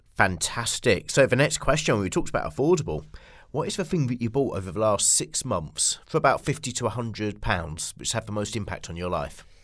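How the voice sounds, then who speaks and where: Recorded very cleanly against a silent background, a man with vocal fry speaks fairly quickly at a medium pitch, his pitch swinging very widely. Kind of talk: casual interview chat.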